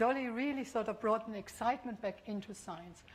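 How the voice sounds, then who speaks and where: In a German accent, a woman speaks at a fairly high pitch. Her pace is fairly quick and her intonation fairly even. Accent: non-Scottish, German. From Bavaria, Germany. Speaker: professor of biotechnology. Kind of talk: public lecture. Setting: lecture hall with audience. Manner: hesitant, with fillers.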